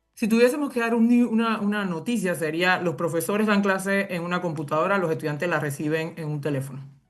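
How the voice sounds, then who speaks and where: Over background music, a woman speaks at a very fast pace with hardly any pauses, her fairly low voice carrying lively intonation. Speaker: university professor and education researcher. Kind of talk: interview. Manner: halting, many fillers.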